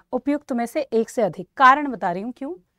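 In a dry, close recording with no echo, a woman talks at a moderate pace in a high pitch, her tone animated and her intonation lively. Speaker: music teacher. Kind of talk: online exam-prep class.

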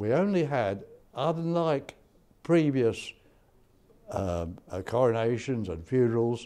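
A man speaks in a dark, mellow tone. His intonation is lively. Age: 90s. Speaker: war veteran. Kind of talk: interview testimony. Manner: halting. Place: hall. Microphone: lapel.

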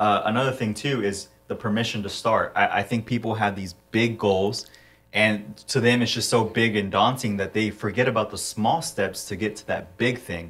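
At a moderate pace, a man with a fairly low pitch and fairly even intonation speaks in a plain, everyday voice. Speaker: podcast co-host. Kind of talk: casual interview. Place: studio. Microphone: studio mic.

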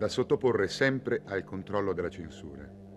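Music plays in the background. A man talks at a moderate pace with lively intonation. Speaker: documentary narrator. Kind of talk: scripted historical documentary narration, measured and authoritative. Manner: formal; steady, even-paced, didactic. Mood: serious, measured.

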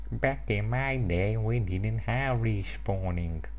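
A man uses a put-on character voice at a fairly slow pace. Clear background noise is present.

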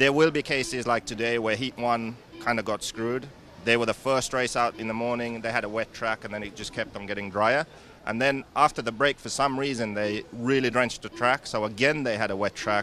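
A man speaks at a fairly quick pace in a bright, sharp tone with fairly even intonation. The sound is dry with no echo, over light background noise. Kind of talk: interview answer. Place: tent. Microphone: handheld.

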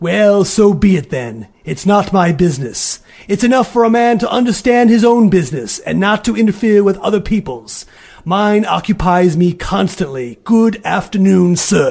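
Using a gruff, put-on character voice, the speaker talks at a moderate pace with lively intonation. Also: man, high pitch for a man. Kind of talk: classic radio drama acting. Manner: gruff, scornful, irritable.

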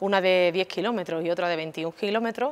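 This is an ordinary speaking voice. A woman with a fairly low pitch speaks at a moderate pace. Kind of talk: interview answer. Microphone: lapel.

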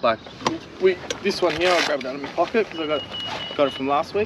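A man's fairly high, fairly bright voice at a fast pace, with ordinary pitch variation over faint background noise

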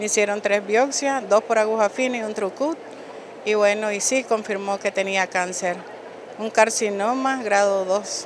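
There is noticeable background noise, though the sound is dry with no echo. A woman speaks fairly slowly at a fairly high pitch with fairly even intonation. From Nicaragua. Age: 40s. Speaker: breast cancer survivor. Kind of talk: testimony. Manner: hesitant. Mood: emotional, recounting diagnosis. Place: hall. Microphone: handheld.

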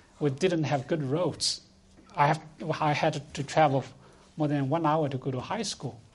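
A man with a Chinese accent, fairly high-pitched and somewhat breathy, at a moderate pace with fairly even intonation and long, frequent pauses. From rural China. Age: 60s. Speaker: food policy institute director. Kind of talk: panel discussion. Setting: conference stage with audience.

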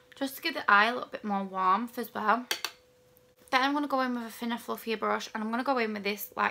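A woman talks at a very fast pace with ordinary pitch variation. Noticeable background noise runs underneath. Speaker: beauty vlogger. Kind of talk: tutorial. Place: home room. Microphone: phone near.

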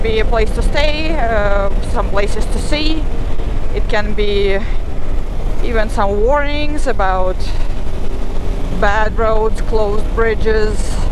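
Speech comes at a very slow pace with long, frequent pauses. The sound is dry with no echo, though background noise is noticeable. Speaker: motorcycle travel vlogger. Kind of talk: casual vlog chat. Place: motorbike.

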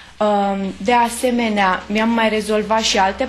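The intonation of this woman stays fairly even. She talks fairly slowly. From Romania, Bucharest. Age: 20s. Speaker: patient. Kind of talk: testimony. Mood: pleased, grateful. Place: home room.

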